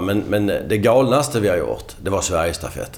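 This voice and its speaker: A man speaks in a somewhat breathy voice. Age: 50s. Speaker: marketing director. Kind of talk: podcast interview.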